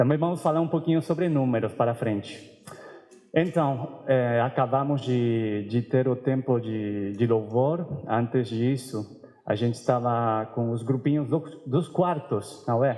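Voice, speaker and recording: Speaking fairly slowly with a Spanish accent, a man shows ordinary pitch variation. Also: medium pitch for a man. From Argentina, Buenos Aires. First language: Spanish (speaking Portuguese). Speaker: seminarian preacher. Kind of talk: sermon.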